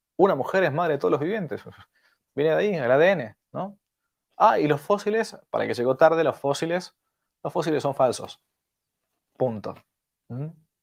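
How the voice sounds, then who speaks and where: Lively intonation marks this man's fairly high-pitched voice at a moderate pace. He leaves long, frequent pauses. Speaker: priest teaching catechesis. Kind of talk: lecture. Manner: animated.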